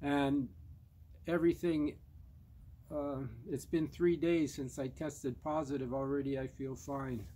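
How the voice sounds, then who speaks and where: Fairly slow and marked by long, frequent pauses, a man speaks at a fairly high pitch in a dark, mellow tone with fairly even intonation. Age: 70s. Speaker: vlogger sharing personal experience. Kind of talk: personal testimony monologue. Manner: halting, with fillers.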